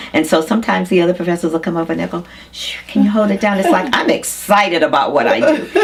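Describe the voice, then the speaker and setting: Over noticeable background noise, a woman speaks at a very fast pace with a fairly low pitch. Her tone is animated and her intonation lively. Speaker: fashion designer. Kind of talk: interview. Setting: studio.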